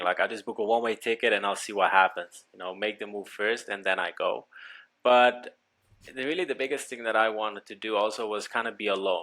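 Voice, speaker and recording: A man with a Dutch accent, a bright, sharp tone and medium pitch with ordinary variation, at a fairly quick pace. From Netherlands, Amsterdam. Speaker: business coach. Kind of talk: casual interview.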